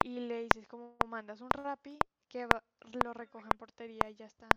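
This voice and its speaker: Moderate-paced speech from a woman, the sound dry and close with no echo. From La Guajira, Colombia. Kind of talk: casual chat, planning a podcast. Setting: video call.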